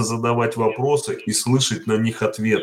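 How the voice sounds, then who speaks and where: The man's voice has a somewhat breathy quality. It stays at a medium pitch. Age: 50s. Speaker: worker and political assembly delegate. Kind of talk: online panel discussion. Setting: voice chat. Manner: plain, simple speech.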